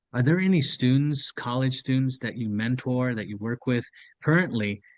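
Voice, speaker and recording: A man with an American accent talks at a moderate pace and a medium pitch. His is an ordinary speaking voice with ordinary pitch variation. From US, near Mexican border. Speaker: podcast co-host. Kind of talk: podcast interview.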